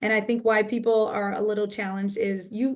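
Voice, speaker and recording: Against a quiet background, a woman speaks in a plain, everyday voice at a moderate pace, fairly high in pitch with fairly even intonation. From Massachusetts, Worcester. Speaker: naval officer. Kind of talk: interview.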